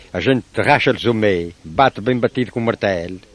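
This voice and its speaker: A man at a moderate pace with ordinary pitch variation, dry and close with no echo. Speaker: craftsman. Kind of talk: interview answer.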